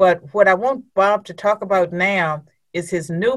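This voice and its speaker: Fairly low-pitched woman with an ordinary speaking voice, at a fairly slow pace. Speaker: podcast host. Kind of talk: interview.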